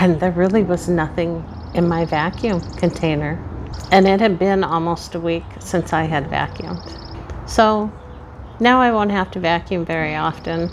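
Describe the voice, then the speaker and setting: Noticeable background noise sits behind a woman's fairly low voice. She speaks at a fairly slow pace with ordinary pitch variation. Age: 60s. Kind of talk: personal reflective talk to camera.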